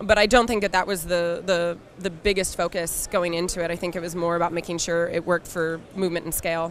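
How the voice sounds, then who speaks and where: A woman with a slight Philadelphia accent, fairly low in pitch, very fast and flat in intonation. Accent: slight Philadelphia accent, mainly on 'water'. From US Northeast, Philadelphia. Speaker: game studio community manager. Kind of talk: casual interview. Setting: trade show floor. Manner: many fillers, hesitant restarts.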